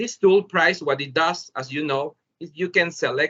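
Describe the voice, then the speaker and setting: A Spanish accent at a moderate pace, with ordinary pitch variation. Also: man. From El Salvador. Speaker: teacher. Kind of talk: webinar presentation. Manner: halting.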